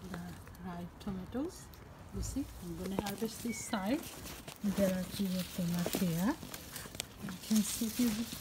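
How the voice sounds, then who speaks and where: Fairly slow delivery with long, frequent pauses, ordinary pitch variation, and noticeable background noise. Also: woman. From Bangladesh. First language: Bengali. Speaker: gardening and cooking vlogger. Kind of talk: garden vlog narration. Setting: outdoors. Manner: animated. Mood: cheerful, enthusiastic. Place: garden. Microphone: phone near.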